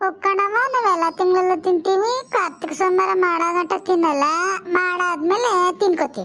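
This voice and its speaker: A woman's cartoonish character voice, extremely high in pitch, at a fairly slow pace. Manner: bossy, chatty.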